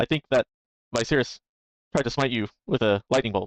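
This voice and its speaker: A man does a gruff, put-on character voice at a medium pitch. He talks at a fairly quick pace with very even loudness. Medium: actual play. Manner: laid-back, cynical.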